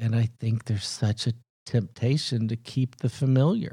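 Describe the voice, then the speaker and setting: At a moderate pace, a man with an American accent and a dark, mellow tone speaks on a very clean recording with a silent background. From US South (Huntsville, Alabama). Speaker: film executive. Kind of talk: casual interview.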